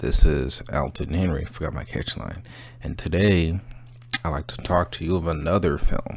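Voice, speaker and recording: Quiet and very deep, a man's low voice carries lively intonation at a moderate pace over noticeable background noise. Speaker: movie review channel host. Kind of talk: casual monologue review. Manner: quiet, subdued; hesitant, many fillers.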